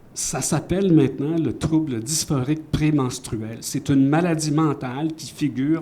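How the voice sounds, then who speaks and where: In a room with audible echo, the speaker talks at a fairly slow pace with hardly any pauses and fairly even intonation. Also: man. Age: 70s. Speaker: author. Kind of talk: panel discussion. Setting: stage with audience.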